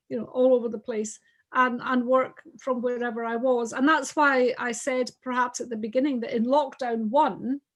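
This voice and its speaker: A woman's high-pitched voice, monotone and flat, at a moderate pace. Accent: Scottish. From Scotland. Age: 60s. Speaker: businesswoman. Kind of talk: casual chat.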